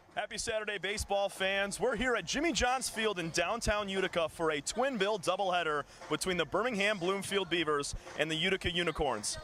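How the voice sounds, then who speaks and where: A man projects a raised voice at a high pitch and a fairly quick pace, with ordinary pitch variation. His loudness stays very even over noticeable background noise. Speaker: baseball play-by-play announcer. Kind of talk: baseball play-by-play broadcast.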